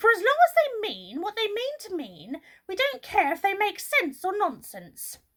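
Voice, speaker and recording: A woman in a put-on character voice, extremely high-pitched, with very wide pitch swings and big swings in loudness at a moderate pace. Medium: read story. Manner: irritable.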